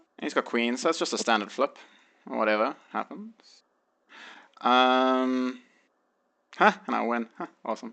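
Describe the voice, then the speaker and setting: Against a quiet background, a man with a South African accent talks at a fairly slow pace in a medium pitch, leaving long, frequent pauses. His tone is bright and sharp, and his intonation is lively. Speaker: online poker player. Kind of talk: tutorial. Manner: hesitant, many fillers.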